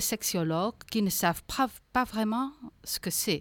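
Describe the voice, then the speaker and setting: On a very clean recording with a silent background, a woman speaks very slowly with ordinary pitch variation. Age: 40s. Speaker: association founder. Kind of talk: interview. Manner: halting, with frequent hesitations.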